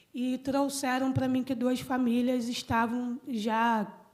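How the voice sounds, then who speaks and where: In a high pitch, a woman speaks with monotone, flat intonation. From Brazil, Petrópolis (Rio de Janeiro state). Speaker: environmental activist and speaker. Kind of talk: conference talk. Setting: conference panel with audience.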